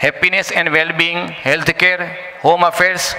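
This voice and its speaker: A man talks at a high pitch. Light background noise can be heard. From India. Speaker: business presenter. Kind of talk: business presentation. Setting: live event with audience. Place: hall. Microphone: podium.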